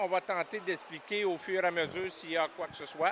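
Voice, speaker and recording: The man's voice has a bright, sharp tone. He talks at a moderate pace. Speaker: sports commentator. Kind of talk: live commentary. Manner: halting, many repetitions.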